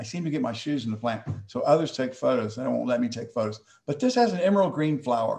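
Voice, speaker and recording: A man with an American accent speaks at a very fast pace, his voice somewhat breathy. His pitch is medium, with ordinary pitch variation. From Texas. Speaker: plant hybridizer. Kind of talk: online presentation. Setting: video call.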